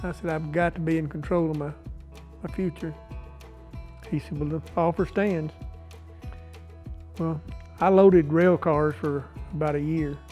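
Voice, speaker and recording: A man with an East Texas accent, fairly high-pitched and fairly even in intonation, with long, frequent pauses and music in the background. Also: moderate pace. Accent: East Texas Southern American. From Marshall, Texas. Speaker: business owner. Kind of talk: interview answer.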